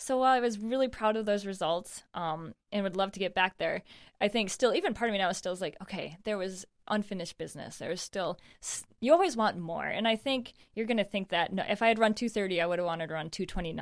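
Talking very fast, a woman with an American accent speaks at medium pitch. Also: ordinary pitch variation, very clean recording, silent background. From western New York (Naples). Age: 30s. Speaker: professional distance runner. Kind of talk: casual chat.

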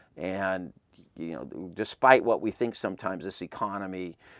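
Over a very clean recording with a silent background, a man with an American accent speaks at a very deep, low pitch. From Southern California, Claremont. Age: 50s. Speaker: concert tour founder and music promoter. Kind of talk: interview. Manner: halting, many false starts.

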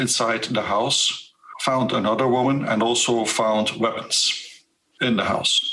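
A man with a Dutch accent speaks at a fairly slow pace with fairly even intonation amid audible room echo. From Flanders, Belgium. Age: 50s. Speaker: witness. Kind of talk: interview. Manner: earnest and direct; halting.

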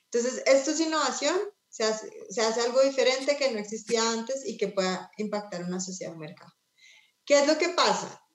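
Her pitch high, a woman talks at a fairly quick pace with lively intonation and big swings in loudness. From Colombia. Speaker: nonprofit executive. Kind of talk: panel conversation.

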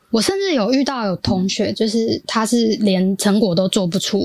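A woman with a Taiwanese accent, dry, close sound with no echo, music in the background. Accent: Taiwanese Mandarin.

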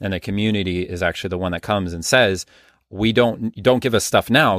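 Recorded very cleanly against a silent background, a man with a plain, everyday voice speaks fairly quickly in a fairly low pitch with ordinary pitch variation. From US Midwest, Minneapolis area. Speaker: documentary filmmaker. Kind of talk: casual interview.

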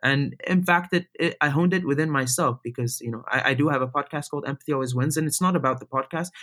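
Very fast and with hardly any pauses, a man speaks in a fairly high pitch with a bright, sharp tone. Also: ordinary pitch variation. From Middle East. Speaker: speaker and podcaster. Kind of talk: casual chat. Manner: animated.

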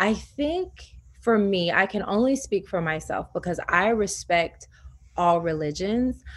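On a very clean recording with a silent background, a woman with an American accent talks in a medium pitch with ordinary pitch variation. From US South. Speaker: yoga teacher. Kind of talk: interview.

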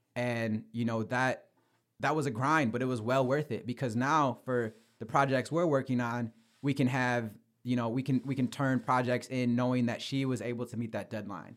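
A medium-pitched man with a Midwestern American accent, fairly even intonation and a moderate pace, on a very clean recording with a silent background. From Michigan, US. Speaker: sports journalist and podcaster. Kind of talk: casual interview.

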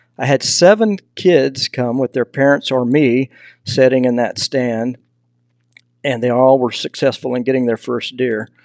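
With a slight Southern US accent and a medium pitch, a man talks at a fairly slow pace in a dry, close sound with no echo. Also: ordinary pitch variation. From Texas. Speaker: hunting mentorship nonprofit founder. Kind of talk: casual interview.

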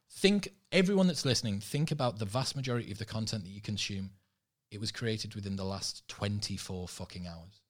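A man talks at a fairly quick pace in a fairly low pitch, somewhat breathy, with ordinary pitch variation. His loudness swings widely. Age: 30s. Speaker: podcaster. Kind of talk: casual chat.

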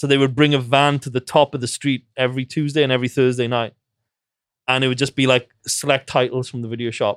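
On a very clean recording with a silent background and a dry, close sound with no echo, a man of medium pitch talks very fast in a monotone, flat voice. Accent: Welsh. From Wales. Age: 40s. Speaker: film director. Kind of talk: casual interview. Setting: in-person recording in an office.

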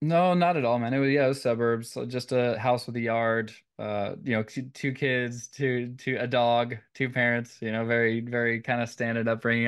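Speaking at a fairly quick pace, a man with an American accent has a medium pitch. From Northern California (San Jose). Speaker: organic gardening business owner. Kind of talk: interview.

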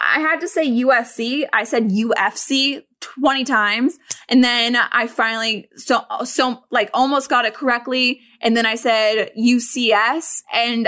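Animated and bright with a sharp edge, a woman's high voice moves at a fairly slow pace with ordinary pitch variation. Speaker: sports podcast host. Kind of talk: casual chat. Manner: animated, laughs often.

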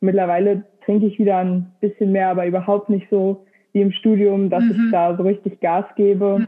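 At a moderate pace, a woman with a medium pitch speaks in a monotone, flat intonation and very even loudness. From Lower Saxony, Germany. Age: 20s. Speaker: engineering graduate, epilepsy social media creator. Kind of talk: casual interview conversation.

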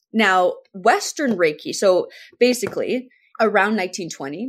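A woman talks at a moderate pace with lively intonation on a very clean recording with a silent background. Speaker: spiritual teacher and energy healer. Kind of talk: interview. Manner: calm, measured.

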